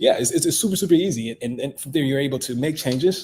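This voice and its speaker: The man's voice sits at a fairly high pitch. It sounds somewhat breathy. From Ghana. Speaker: tech startup founder. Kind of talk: interview. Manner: halting, many repetitions.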